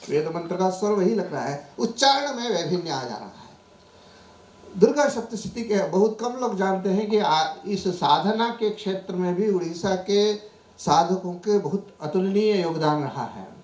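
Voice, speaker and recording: A man with a Marathi accent speaks at a high pitch with big swings in loudness. Noticeable background noise is present. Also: ordinary pitch variation. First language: Marathi (speaking Hindi). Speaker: professor. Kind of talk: conference talk. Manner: formal; halting.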